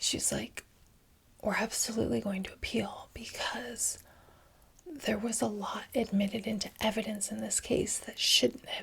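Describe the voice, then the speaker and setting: Whispering and soft-spoken, a woman talks at a fairly slow pace with big swings in loudness. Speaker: law graduate. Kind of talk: ASMR ramble. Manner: alternating whispers and soft-spoken.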